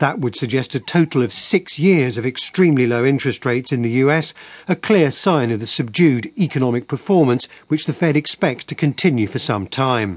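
With a British accent, a medium-pitched man talks fairly quickly with lively intonation. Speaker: economics correspondent. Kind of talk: news report.

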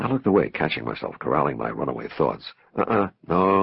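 Plain reading aloud comes with ordinary pitch variation.

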